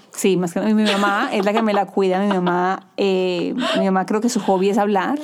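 With very even loudness and fairly even intonation, a medium-pitched woman speaks at a moderate pace amid noticeable background noise. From Colombia. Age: 30s. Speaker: TV news anchor. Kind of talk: casual interview. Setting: studio.

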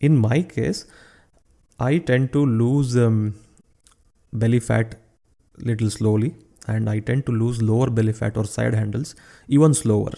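This man has a medium pitch, a dark, mellow tone, ordinary pitch variation and a moderate pace. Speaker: fitness coach and podcast host. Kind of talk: solo educational talk. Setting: solo recording, unedited. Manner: halting, with fillers and pauses.

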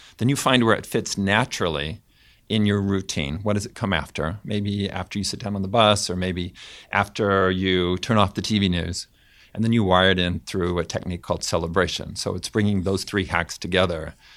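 With an American accent, a man talks in a very deep, low voice and fairly even intonation, recorded very cleanly against a silent background. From US West Coast (Fresno, California). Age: 50s. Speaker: behavior scientist and professor. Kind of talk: panel discussion. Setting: room in London.

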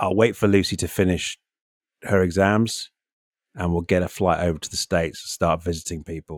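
A man with a British accent speaks in a very deep, low voice at a fairly quick pace. His intonation stays fairly even on a very clean recording with a silent background. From UK. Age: 50s. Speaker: podcast co-host. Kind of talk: casual chat. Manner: halting, many repeated words.

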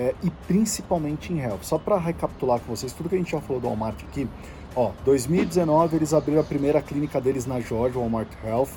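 Ordinary pitch variation at a moderate pace, with music in the background. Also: man. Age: 40s. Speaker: podcast host, health industry commentator. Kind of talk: solo news briefing. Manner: casual, conversational.

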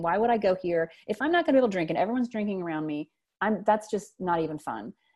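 A woman with a Louisiana accent speaks in a dark, mellow tone at medium pitch, her intonation lively over a quiet background. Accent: Southern US (Louisiana). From US South, South Louisiana. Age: 40s. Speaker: writer and teacher. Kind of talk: interview, personal story. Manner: hesitant, many fillers.

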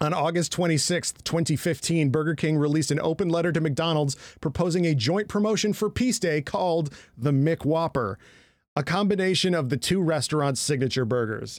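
A man with an ordinary speaking voice talks at a moderate pace, fairly high in pitch, with ordinary pitch variation. His loudness stays very even on a very clean recording with a silent background. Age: 30s. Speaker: comedy podcast co-host. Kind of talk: casual chat.

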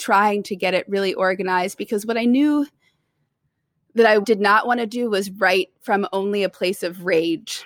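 With an American accent, a woman uses an ordinary speaking voice at a medium pitch, ordinary pitch variation and a moderate pace, captured as a very clean recording with a silent background and a dry, close sound with no echo. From US South, Tennessee (Nashville). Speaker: poet and writer in residence. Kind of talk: interview.

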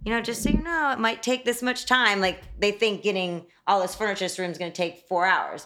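This woman talks at a fairly quick pace with hardly any pauses. Hers is an unremarkable speaking voice, medium in pitch with ordinary pitch variation. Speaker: interior designer. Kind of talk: casual interview. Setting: studio.

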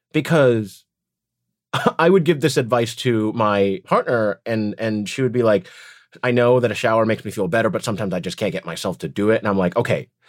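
On a very clean recording with a silent background, a man speaks with an American accent. His pace is moderate and his intonation lively. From United States, moved from Beijing at about three. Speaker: voice actor and theme park performer. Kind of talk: casual interview. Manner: animated.

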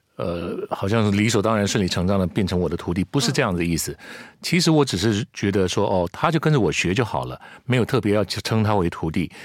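A man's fairly low voice with lively intonation and a fairly quick pace, on a very clean recording with a silent background. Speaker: commercial voice actor, former news anchor. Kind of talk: casual interview.

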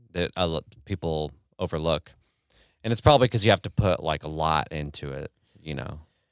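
In a dry, close recording with no echo, a man with an American accent and a very deep, low pitch speaks at a fairly quick pace with vocal fry, big swings in loudness, and long, frequent pauses. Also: ordinary pitch variation. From US Midwest, Kansas City. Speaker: techno producer and live act. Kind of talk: casual chat. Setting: home studio, in person.

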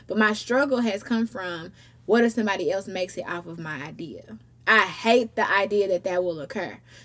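Spoken at a fairly quick pace with ordinary pitch variation, the voice swings widely in loudness over noticeable background noise. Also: woman, medium pitch for a woman. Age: 20s. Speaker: podcast host. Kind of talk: casual chat.

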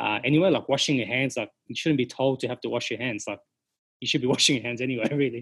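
A man talks at a very fast pace with an Australian accent, his pitch sitting in the medium range. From Sydney, Australia. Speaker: hospitality business owner. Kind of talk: interview conversation.

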